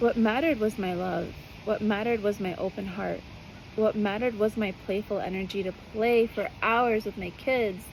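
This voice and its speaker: This soft-spoken voice comes with an American accent. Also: woman, fairly high pitch for a woman, fairly even intonation, moderate pace. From US. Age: 30s. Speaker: spiritual mothering guide. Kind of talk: personal monologue. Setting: outdoors on a balcony.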